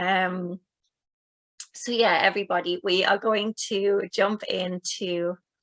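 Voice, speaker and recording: This woman talks very slowly at a medium pitch, her intonation monotone and flat, in a dry, close sound with no echo. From northern England, Newcastle. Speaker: womb healing practitioner. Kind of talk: online group healing session. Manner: casual, filler-heavy.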